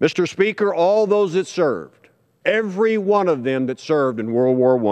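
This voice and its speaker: In an American accent, a man speaks at a fairly slow pace with very wide pitch swings. The background is quiet. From Texas. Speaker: congressman and former judge. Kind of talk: parliament oratory, formal floor speech. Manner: earnest, storytelling, slightly halting. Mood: solemn, respectful. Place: hall. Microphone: podium.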